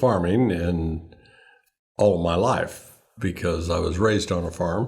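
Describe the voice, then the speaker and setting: Somewhat breathy and very deep, a man with an American accent speaks at a fairly slow pace with fairly even intonation on a very clean recording with a silent background. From Northern California, Sacramento Valley. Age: 70s. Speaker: farmer and rancher. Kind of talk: interview.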